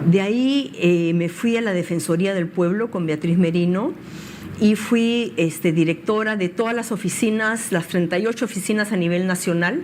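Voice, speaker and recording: A woman's medium-pitched voice at a moderate pace, ordinary pitch variation, noticeable background noise. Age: 60s. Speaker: political candidate. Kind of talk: interview.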